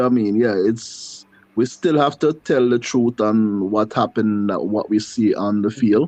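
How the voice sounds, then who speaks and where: A man speaks at a moderate pace with a slight Jamaican accent. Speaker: football commentator. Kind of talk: casual chat. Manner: halting, many fillers and repetitions.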